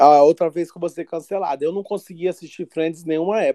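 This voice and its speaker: At a moderate pace, a man speaks in a dark, mellow tone with a dry, close sound and no echo. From Brazil. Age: 30s. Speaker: co-host. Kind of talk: casual chat.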